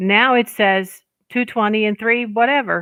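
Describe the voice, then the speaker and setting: A woman speaks with ordinary pitch variation. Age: 60s. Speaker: witchcraft content creator. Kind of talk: livestream casual chat. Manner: halting, with many fillers. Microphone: headset on a new Chromebook.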